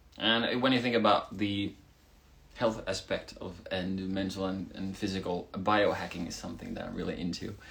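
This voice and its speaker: Noticeable background noise sits behind a man with a Swedish accent. His pitch is fairly low and his pace moderate. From Finland. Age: 20s. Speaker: rock band singer. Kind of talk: live stream Q&A. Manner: casual, animated.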